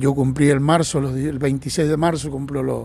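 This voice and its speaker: The man's fairly high pitch carries a dark, mellow tone. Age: 60s. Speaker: retired train driver. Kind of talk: interview. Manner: halting, repeats words.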